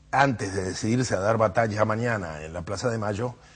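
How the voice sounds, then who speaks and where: A man talks at a moderate pace in a fairly low, somewhat breathy voice, his pitch varying in an ordinary way. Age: 70s. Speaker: political activist. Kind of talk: TV interview. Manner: halting with fillers.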